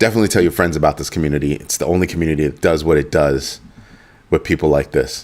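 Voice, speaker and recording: Very fast and very deep, this man's low-pitched voice carries vocal fry. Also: ordinary pitch variation. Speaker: crypto channel host. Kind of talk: livestream talk to viewers.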